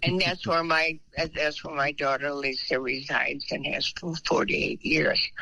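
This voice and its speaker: A woman's very deep, low voice at a fairly slow pace, with hardly any pauses, fairly even intonation and noticeable background noise. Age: 90s. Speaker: senior living resident. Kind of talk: casual chat.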